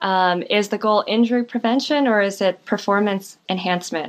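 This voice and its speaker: Moderate pace, an American accent and ordinary pitch variation. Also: woman. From US West Coast, San Leandro, California. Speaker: physical therapist and runner. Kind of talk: casual interview.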